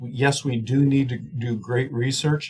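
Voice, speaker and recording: This is a man speaking at a medium pitch. His voice is somewhat breathy. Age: 60s. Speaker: swine nutrition professor. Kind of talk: podcast interview. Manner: rambling, many fillers and restarts.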